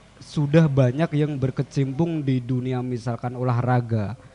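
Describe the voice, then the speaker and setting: With music in the background, the speech unfolds at a fairly slow pace with ordinary pitch variation, in a dry, close sound with no echo. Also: man. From Central Java. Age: young. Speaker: young cultural heritage advocate. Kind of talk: radio interview. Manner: soft-spoken.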